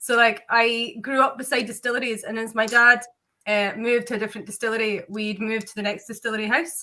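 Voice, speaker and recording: A woman's bright, sharp voice moves at a very fast pace, pitched fairly high, with fairly even intonation. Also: big swings in loudness. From Scotland. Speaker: distillery founder. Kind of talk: interview.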